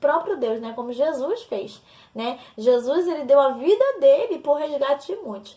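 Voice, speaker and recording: Lively intonation marks this woman's high-pitched voice. She speaks at a fairly slow pace. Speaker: missionary and course teacher. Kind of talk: recorded lesson.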